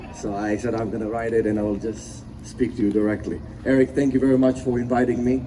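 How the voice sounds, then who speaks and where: A man with a non-native accent, medium pitch, fairly even intonation and a moderate pace. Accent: foreign. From abroad, immigrated as teenager. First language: not English. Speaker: motivational speaker, business owner. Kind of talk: motivational speech.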